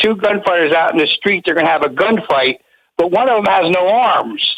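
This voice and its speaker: Loudness stays very even throughout. The pace is fairly quick, with ordinary pitch variation. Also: man. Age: 60s. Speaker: caller. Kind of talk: casual chat.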